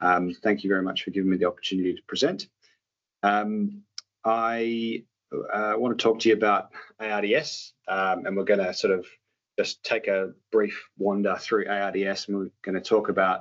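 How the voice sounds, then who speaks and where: In an Australian accent, a man with a fairly low pitch speaks at a moderate pace with fairly even intonation. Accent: Australian, noticeable. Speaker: doctor. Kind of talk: lecture. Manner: halting, many fillers.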